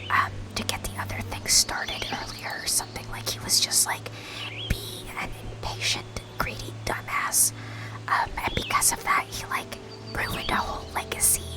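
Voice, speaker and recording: A woman's whisper comes at a moderate pace, with noticeable background noise behind it. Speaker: Twitch streamer. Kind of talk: casual live stream talk to chat. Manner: casual, chatty, conversational.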